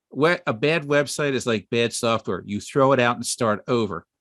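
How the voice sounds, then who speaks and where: A man with a normal speaking voice talks at a moderate pace, medium in pitch with ordinary variation. The sound is dry and close, with no echo. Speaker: web designer and online store owner. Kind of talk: webinar presentation.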